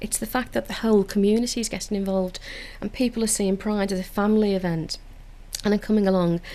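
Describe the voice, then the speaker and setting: A woman's very fast, monotone delivery at medium pitch, with a Liverpool accent and flat intonation. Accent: Liverpool (Scouse). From Liverpool, England (Toxteth). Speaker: council community engagement officer. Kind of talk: radio interview. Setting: radio studio.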